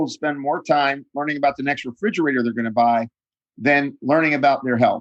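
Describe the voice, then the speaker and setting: Against a quiet background, a man with a fairly high pitch talks at a fairly quick pace in an unremarkable speaking voice. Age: 60s. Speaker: nutritionist and author. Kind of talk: interview.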